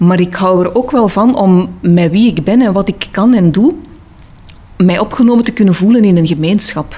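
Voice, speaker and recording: The speaker has an Antwerp accent. Background noise is noticeable. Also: woman. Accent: Antwerp Flemish. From Antwerp, Belgium. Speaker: interviewee. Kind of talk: personal interview. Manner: hesitant.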